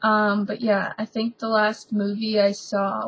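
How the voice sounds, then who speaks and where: Here a woman speaks with an American accent at a fairly slow pace. Her voice is fairly high and somewhat breathy. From US South, Alabama. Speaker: video blogger. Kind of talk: casual chat.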